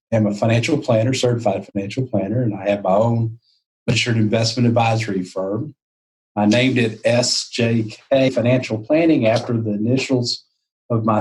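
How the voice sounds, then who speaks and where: A man with a Texan accent, somewhat breathy and medium in pitch, at a moderate pace with fairly even intonation. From Texas, Fort Worth. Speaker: financial planner. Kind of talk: interview.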